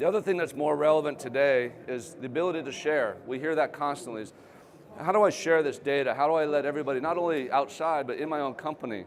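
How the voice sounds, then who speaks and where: A man's fairly high voice, very fast, with ordinary pitch variation and audible room echo. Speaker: company founder and trade show speaker. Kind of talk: presentation. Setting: trade show stage with audience. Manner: conversational.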